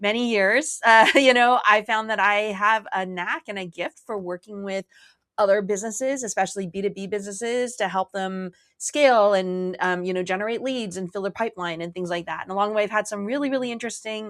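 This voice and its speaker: With a Canadian accent, a woman speaks at a fairly quick pace and a medium pitch with ordinary pitch variation, in a very clean recording with a silent background. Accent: Canadian, quite pronounced. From Canada. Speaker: marketing strategist, former lawyer. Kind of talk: casual interview chat. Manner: casual, frequent um and like.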